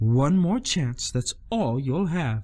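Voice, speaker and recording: A man speaks in a put-on character voice that sits fairly high for a man. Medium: read story. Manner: soft, gentle.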